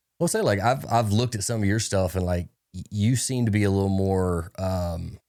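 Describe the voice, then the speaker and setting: A man's dark, mellow, fairly low voice in a Tennessee accent, at a moderate pace with fairly even intonation, in a very clean recording with a silent background. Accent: Tennessee Southern. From Nashville area, Tennessee. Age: 40s. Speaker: podcast host and realtor. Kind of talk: casual interview chat.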